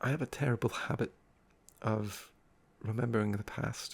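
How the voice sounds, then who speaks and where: A man speaks very slowly in a calm tone at a medium pitch. Vocal fry runs through his voice. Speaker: ASMR creator. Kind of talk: unscripted ASMR talk. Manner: soft-spoken, calm.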